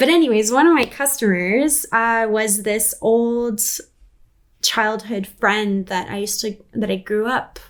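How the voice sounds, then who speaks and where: A woman with a plain, everyday voice speaks in a Canadian accent, fairly high in pitch with ordinary pitch variation. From Canada, British Columbia (Prince George area). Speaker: musician and vocal coach. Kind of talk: interview conversation.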